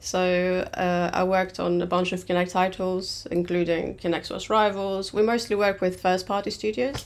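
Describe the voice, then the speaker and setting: A woman with a Greek accent speaks at medium pitch and a moderate pace. Her intonation is monotone and flat, with hardly any pauses. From Greece. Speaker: game producer. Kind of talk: webinar presentation. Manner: hesitant, many fillers.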